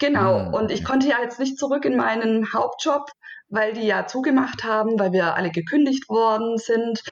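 In a plain, everyday voice, a woman with a fairly high pitch speaks at a fairly slow pace with ordinary pitch variation. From southwestern Germany, Stuttgart area. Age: 30s. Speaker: virtual assistant, freelancer. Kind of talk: podcast interview.

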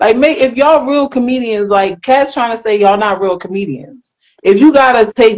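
Lively intonation marks a woman's moderately paced speech in an unremarkable speaking voice. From Philadelphia. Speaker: guest co-host. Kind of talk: casual chat.

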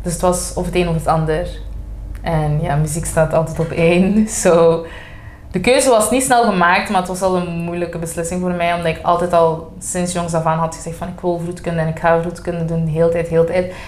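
A woman with a fairly low pitch talks at a fairly quick pace and fairly even intonation, with audible room echo and noticeable background noise. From Belgium, Flanders (Antwerp, Sint-Niklaas). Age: 20s. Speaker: singing contest winner. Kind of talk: casual chat. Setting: coffee bar.

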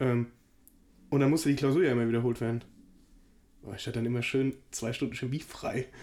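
The voice has a dark, mellow tone and fairly even intonation. It moves at a very fast pace yet leaves long, frequent pauses. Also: man, medium pitch for a man. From Hesse, near Frankfurt. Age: 20s. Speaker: podcast co-host. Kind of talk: casual chat.

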